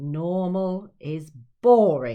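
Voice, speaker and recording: The put-on character voice sits at a middle pitch. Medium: read story. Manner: huffy, puffing.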